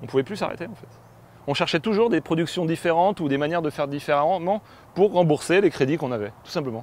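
In a dry sound with no echo, a man speaks very fast at a fairly high pitch, with lively intonation and big swings in loudness. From western France, Poitou; western France. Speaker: film director. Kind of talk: personal testimony interview. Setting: on location at family farm. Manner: halting, with many hesitations. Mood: reflective, personal. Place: farm machine.

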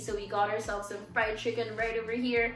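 With audible room echo and faint music in the background, a woman talks at a very fast pace. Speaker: channel host. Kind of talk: casual vlog chat. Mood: cheerful, laughing. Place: home room. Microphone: camera far.

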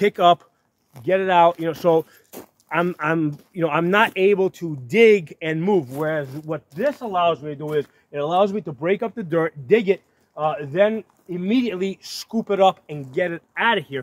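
A man with a high pitch speaks at a moderate pace. The sound is dry, with no echo. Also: ordinary pitch variation. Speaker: tractor owner. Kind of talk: casual explanatory vlog talk. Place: open country.

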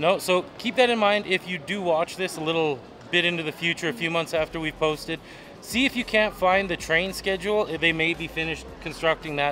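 This man has a high voice with ordinary pitch variation. He talks at a fairly quick pace over light background noise. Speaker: travel vlogger. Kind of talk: casual vlog chat. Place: station. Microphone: phone near.

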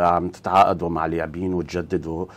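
The delivery is fairly slow. Intonation stays monotone and flat. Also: man. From Lebanon. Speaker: sports show host. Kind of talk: interview. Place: studio. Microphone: lapel.

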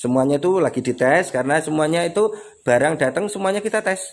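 A man is speaking. His pitch swings very widely. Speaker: airgun shop seller. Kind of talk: pitchman sales patter rattling off slashed promo prices. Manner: excitable, gleeful repetitive cheering like hore re re re. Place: shop. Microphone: phone near.

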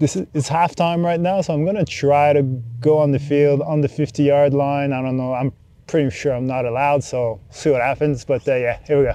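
The intonation stays fairly even. The tone is dark and mellow, with a dry sound and no echo. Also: man. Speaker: sports videographer reviewing gear. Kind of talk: casual vlog chat. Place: open country. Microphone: lapel.

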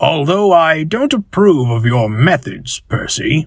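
At a fairly slow pace, a man speaks. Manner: stern, authoritative.

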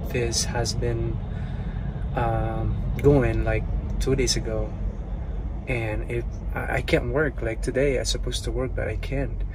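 Loud background noise surrounds a man speaking at a fairly slow pace. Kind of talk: casual vlog chat. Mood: calm, slightly pained. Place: car. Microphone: earbuds.

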